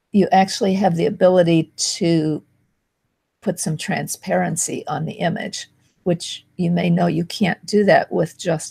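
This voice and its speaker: Dry and close with no echo, a woman's fairly low, dark, mellow voice carries vocal fry. She speaks at a fairly slow pace with fairly even intonation. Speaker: marketing video host. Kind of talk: tutorial.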